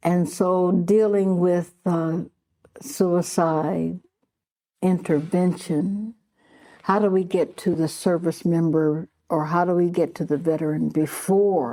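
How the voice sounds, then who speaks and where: A woman's fairly low voice with an American accent, very slow pace and very even loudness, in a very clean recording with a silent background. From Ohio (Columbus). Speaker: military veteran. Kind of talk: interview testimony. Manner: halting.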